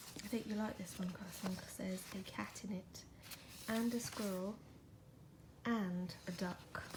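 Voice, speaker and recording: Soft-spoken and gentle, a woman at medium pitch talks fairly slowly in a monotone, flat delivery with long, frequent pauses over noticeable background noise. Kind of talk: casual talk to the cat. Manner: soft, gentle, relaxing.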